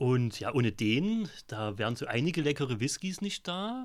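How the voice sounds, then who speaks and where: The recording is very clean, with a silent background. A man speaks at a medium pitch with lively intonation. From Vogtland, Saxony. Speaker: podcast host. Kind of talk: casual chat. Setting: in a pub.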